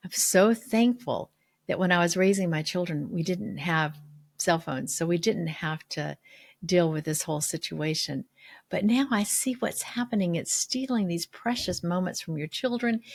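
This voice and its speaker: Somewhat breathy, a woman with a fairly low pitch speaks at a moderate pace and with lively intonation over a very clean recording and silent background. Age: 70s. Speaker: podcast host and parenting coach. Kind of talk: motivational monologue.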